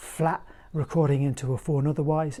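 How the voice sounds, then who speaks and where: A man's tone is dark and mellow. His voice is somewhat breathy. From northern England, Durham; northern England. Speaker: flute maker and teacher; teacher. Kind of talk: tutorial; casual vlog chat. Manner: casual, hesitant with fillers. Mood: warm, relaxed, friendly. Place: home room. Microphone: lapel.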